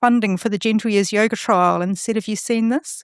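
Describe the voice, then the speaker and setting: With a New Zealand accent, a woman with a fairly high pitch speaks in a very clean recording with a silent background. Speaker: research fellow and yoga teacher. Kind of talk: podcast interview. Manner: hesitant, with frequent fillers.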